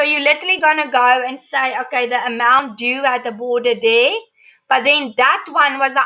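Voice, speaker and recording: A woman's raised, projected voice rings out at a high pitch with a bright, sharp tone. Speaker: teacher. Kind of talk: tutorial.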